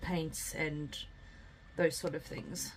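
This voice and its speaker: Quiet and somewhat breathy, a woman speaks at a fairly slow pace in a monotone, flat delivery. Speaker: craft YouTuber. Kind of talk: casual craft tutorial. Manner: quiet while concentrating; casual, many fillers.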